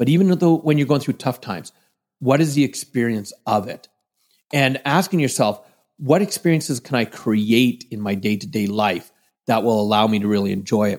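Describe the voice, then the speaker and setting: A plain, everyday voice with a Canadian accent and lively intonation. The pace is moderate. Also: man, medium pitch for a man. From western Canada (British Columbia). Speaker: motivational speaker and trainer. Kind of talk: interview.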